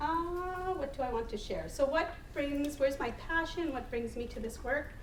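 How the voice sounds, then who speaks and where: A woman talks at a moderate pace in a high voice with lively intonation. Noticeable background noise and audible room echo surround her. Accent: Manitoban. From northern Manitoba, Canada. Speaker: harm reduction advocate. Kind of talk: panel talk. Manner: halting, many fillers.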